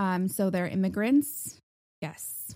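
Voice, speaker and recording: The woman's pace is fairly slow. She has an American accent. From Southern California, San Juan Capistrano. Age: 40s. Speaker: financial educator and author. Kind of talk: interview conversation.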